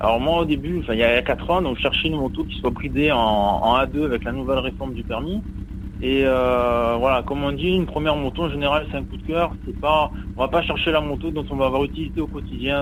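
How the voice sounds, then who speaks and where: Audible room echo and noticeable background noise surround speech delivered at a fairly quick pace. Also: man. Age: young. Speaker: motorcyclist. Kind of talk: interview.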